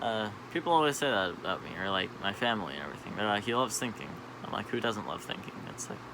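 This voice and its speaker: Against noticeable background noise, a man speaks at a very fast pace with lively intonation. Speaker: vlogger. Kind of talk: casual monologue.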